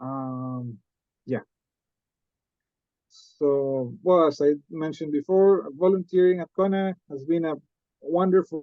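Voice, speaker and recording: A man speaks with a Costa Rican accent at a fairly high pitch and ordinary pitch variation. His pace is fairly slow, with long, frequent pauses. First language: Spanish. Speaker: MBA student. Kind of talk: presentation talk. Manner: halting, with many fillers.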